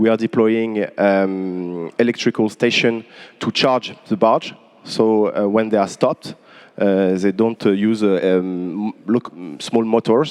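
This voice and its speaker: In a French accent, a man with a fairly low pitch speaks at a very slow pace and with fairly even intonation. His loudness stays very even, and the sound is dry and close with no echo. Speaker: port company manager. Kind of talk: panel discussion. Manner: halting.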